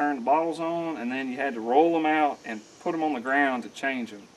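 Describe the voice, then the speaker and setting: A very fast-talking man with an American accent. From Mississippi. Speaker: welder and mechanic, video creator. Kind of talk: casual tour walkthrough.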